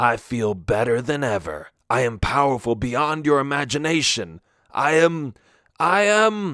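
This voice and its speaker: A man's put-on character voice at medium pitch and moderate pace, with very wide pitch swings. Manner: creepy and mischievous.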